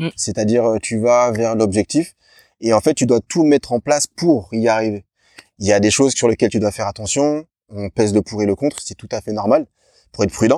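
Captured in a very clean recording with a silent background and a dry, close sound with no echo, a man speaks fairly quickly in a dark, mellow tone at a medium pitch with ordinary pitch variation. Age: 40s. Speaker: personal coach and masters athlete. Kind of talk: casual interview.

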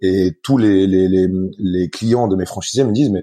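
Against a quiet background, a man speaks in a fairly low pitch with a dark, mellow tone. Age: 30s. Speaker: company founder. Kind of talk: interview. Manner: halting, many repetitions.

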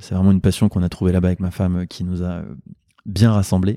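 A man's very deep, low voice with a dark, mellow tone and monotone, flat intonation, dry and close with no echo, in a very clean recording with a silent background. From Normandy, Le Havre. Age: 30s. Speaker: doctor and entrepreneur. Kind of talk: interview.

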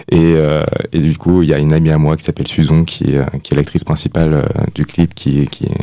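Noticeable background noise sits behind this man's fairly quick speech. His very deep, low voice holds a monotone, flat intonation. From Nantes, France. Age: 20s. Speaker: singer-songwriter and nurse. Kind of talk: radio interview, thoughtful. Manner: halting, hesitant, repeating words.

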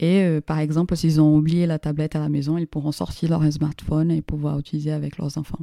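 Her voice very deep and low with a dark, mellow tone, a woman speaks fairly quickly in a flat monotone with hardly any pauses, the sound dry and close with no echo on a very clean recording with a silent background. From Brazil. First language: Portuguese (speaking French). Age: 30s. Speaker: startup co-founder. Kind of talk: interview.

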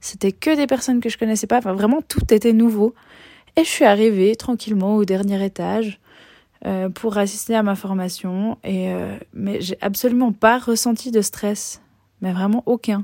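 A woman's dark, mellow voice at a medium pitch, dry and close with no echo, at a moderate pace with ordinary pitch variation. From Switzerland. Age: 20s. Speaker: podcast host, teacher and life coach. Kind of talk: solo monologue podcast. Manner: hesitant with many fillers.

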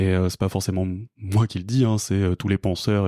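A man speaks in a very deep, low pitch with a dark, mellow tone and fairly even intonation at a fairly slow pace. The very clean recording has a silent background and a dry, close sound with no echo. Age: 30s. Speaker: climate consultant. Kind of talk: interview. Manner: halting.

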